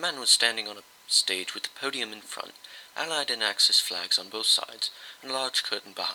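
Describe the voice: A plain reading aloud of the text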